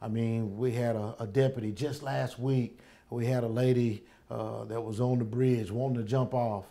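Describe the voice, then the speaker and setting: In a Southern US accent, the voice has a dark, mellow tone and a flat, monotone delivery at a moderate pace. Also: man, medium pitch for a man. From US South, Alabama (Tuscaloosa). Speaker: sheriff. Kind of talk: interview.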